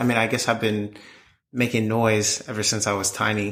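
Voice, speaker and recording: Speaking at a moderate pace, a man with an American accent has a medium pitch, a bright, sharp tone and monotone, flat intonation. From Maryland, US. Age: 20s. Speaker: singer-songwriter. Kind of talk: interview. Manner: halting.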